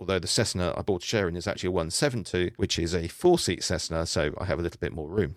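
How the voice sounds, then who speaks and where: In a British accent, a man speaks at a very fast pace with hardly any pauses. His very deep, low voice has ordinary pitch variation on a very clean recording with a silent background. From UK. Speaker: private pilot. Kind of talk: podcast talk on flight training.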